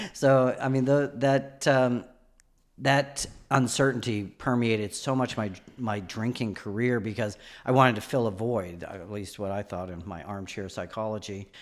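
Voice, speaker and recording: A man with an American accent talks at a moderate pace in a medium-pitched voice with ordinary pitch variation. His loudness swings widely over a silent background in a very clean recording. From New England, Nashua, New Hampshire. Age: 50s. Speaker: person in recovery from alcoholism. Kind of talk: personal testimony in podcast interview.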